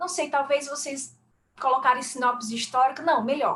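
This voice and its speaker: A woman speaks in a high pitch. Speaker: academic paper discussant, university teacher. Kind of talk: academic feedback on a paper.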